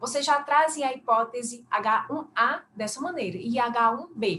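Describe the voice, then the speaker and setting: This woman talks high in pitch, moving it up and down in an ordinary way. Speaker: academic paper discussant, university teacher. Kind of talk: academic feedback on a paper.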